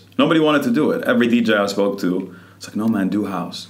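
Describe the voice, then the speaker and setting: At a very fast pace and fairly low pitch, a man speaks with audible room echo around him. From Saudi Arabia (Riyadh), Lebanese parents. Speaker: nightclub owner. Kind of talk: casual chat.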